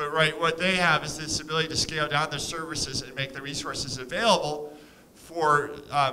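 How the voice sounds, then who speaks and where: A man speaks at a fairly quick pace with ordinary pitch variation. Light background noise can be heard. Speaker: conference speaker. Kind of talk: lecture. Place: hall. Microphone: podium.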